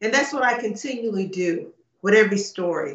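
A woman with an American accent, high-pitched, at a moderate pace. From United States. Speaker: author. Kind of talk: interview. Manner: hesitant, many fillers.

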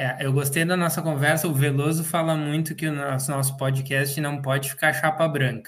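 With hardly any pauses, a man talks at a moderate pace in a fairly high voice with monotone, flat intonation. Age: 40s. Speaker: agriculture podcast co-host. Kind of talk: podcast interview.

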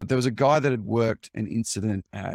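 In an Australian accent, a man speaks at a very fast pace with a fairly low pitch, ordinary pitch variation and vocal fry, in a dry, close recording with no echo. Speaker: cybersecurity executive, former journalist. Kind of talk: interview. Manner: calm.

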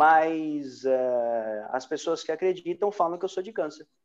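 A man's fairly high-pitched voice at a very slow pace, with lively intonation. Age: 40s. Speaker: podcast host. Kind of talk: casual chat. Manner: animated.

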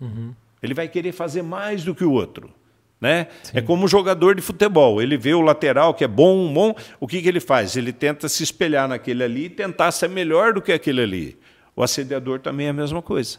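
With an unremarkable speaking voice, a man talks at a fairly quick pace in a fairly high pitch, his intonation lively. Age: 60s. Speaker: bank workers' union president. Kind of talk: casual interview.

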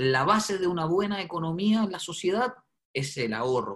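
Lively intonation marks this man's unremarkable speaking voice. His pace is moderate. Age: 30s. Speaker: media personality and property investor. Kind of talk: interview testimony.

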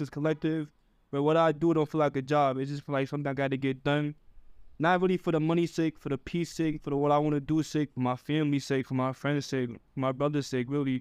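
Speaking very fast in an American accent, a man with a fairly high pitch keeps a monotone, flat intonation, and the sound is dry and close with no echo. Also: quiet background. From New York City, upper Manhattan. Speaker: fashion creative. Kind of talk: casual chat.

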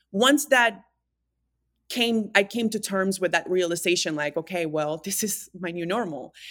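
Lively intonation at a moderate pace, with a Spanish accent, on a very clean recording with a silent background. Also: woman, medium pitch for a woman. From Dominican Republic. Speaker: fitness trainer and wellness coach. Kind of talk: casual interview, personal storytelling.

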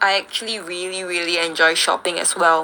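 A woman at a medium pitch talks at a moderate pace amid noticeable background noise. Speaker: student radio host. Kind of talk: radio show chat.

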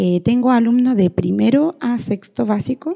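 The voice has a dark, mellow tone, somewhat breathy, at a fairly slow pace, recorded dry and close with no echo. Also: woman. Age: 30s. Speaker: rural schoolteacher. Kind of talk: educational monologue. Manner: hesitant, with fillers.

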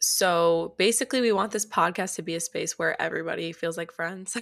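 A woman with an American accent speaks in a plain, everyday voice, fairly low in pitch. Her pitch variation is ordinary, and the recording is very clean with a silent background. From US Midwest, North Shore of Chicago. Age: 18. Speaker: podcast co-host, college student. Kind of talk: casual chat; scripted outro.

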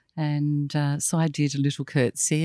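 A woman speaks in a very deep, low voice with an Australian accent. The sound is dry and close, with no echo. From Tasmania, north west coast. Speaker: former state governor-level official. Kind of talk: interview conversation.

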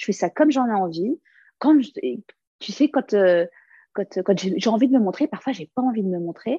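With a dark, mellow tone, a woman speaks at a fairly high pitch, somewhat breathy, with lively intonation. Her loudness swings widely and she takes long, frequent pauses, all in a dry, close sound with no echo. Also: moderate pace. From France, Lebanese family. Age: 30s. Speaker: comedian. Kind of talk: casual interview.

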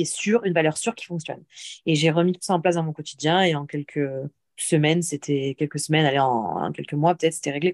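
Speaking at a very fast pace, a woman with a fairly low pitch comes across in a dry, close sound with no echo. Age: 30s. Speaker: personal coach for women. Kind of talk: casual chat. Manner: animated.

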